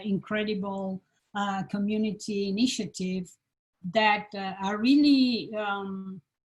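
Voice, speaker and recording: A woman speaks with a strong Italian accent. Her pitch is medium and her voice is somewhat breathy. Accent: Italian accent, heavy. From Italy, Florence. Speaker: design professor, panel moderator. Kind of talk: panel discussion. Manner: halting.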